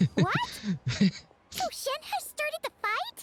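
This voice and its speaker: Squeaky and extremely high, a put-on character voice moves at a fairly slow pace. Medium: short film. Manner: excitable.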